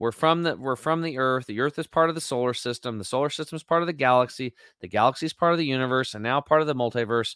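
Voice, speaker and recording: A man with medium pitch and ordinary pitch variation speaks at a very fast pace in an animated tone with hardly any pauses, the sound dry and close with no echo. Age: 50s. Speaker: health supplement company leader. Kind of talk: casual interview. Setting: remote call. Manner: loud.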